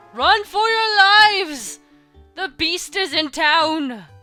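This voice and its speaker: In a put-on character voice at an extremely high pitch, the speaker goes at a very slow pace while faint music plays in the background. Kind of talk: theatrical. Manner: dramatic, menacing.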